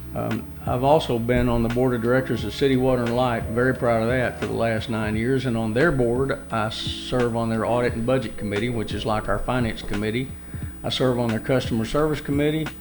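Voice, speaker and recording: Music plays in the background as a man with a Southern US accent talks at a fairly quick pace and a medium pitch with fairly even intonation, with audible room echo. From Arkansas, Jonesboro. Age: 60s. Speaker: city council member, mayoral candidate. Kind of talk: radio interview. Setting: studio. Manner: hesitant, many fillers.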